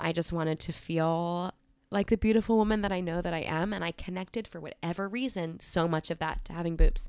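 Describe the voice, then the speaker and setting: A normal speaking voice from a woman, fairly low in pitch, with ordinary pitch variation and a fairly quick pace. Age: 20s. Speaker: energy healer. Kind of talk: casual chat. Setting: in person at a kitchen table.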